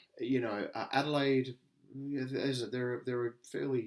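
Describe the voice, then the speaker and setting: Talking at a fairly quick pace, a man with an Australian accent speaks at a medium pitch. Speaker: podcast co-host. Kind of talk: casual chat.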